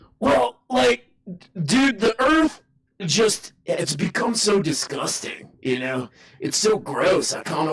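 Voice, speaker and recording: A man's raspy, put-on character voice, high in pitch with very wide pitch swings, at a fairly slow pace. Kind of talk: casual slang. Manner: casual, dismissive.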